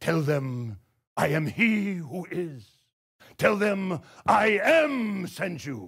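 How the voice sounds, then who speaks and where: In a put-on character voice that is raised and projected, the speaker goes at a very slow pace with long, frequent pauses. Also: man, high pitch for a man. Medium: stage play. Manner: commanding.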